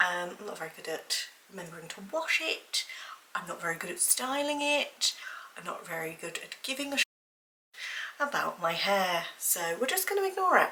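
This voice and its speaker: Speaking in a British accent, a woman uses a fairly high pitch with very wide swings. She keeps a moderate pace, broken by long, frequent pauses. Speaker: lifestyle vlogger, mother. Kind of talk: casual vlog talk to camera. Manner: casual, filler-heavy.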